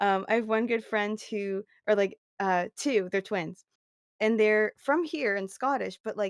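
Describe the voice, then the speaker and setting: In a Canadian accent, a woman with a normal speaking voice talks at a fairly slow pace, her fairly high pitch showing ordinary variation, captured in a very clean recording with a silent background and a dry, close sound with no echo. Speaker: podcast co-host. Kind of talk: casual chat.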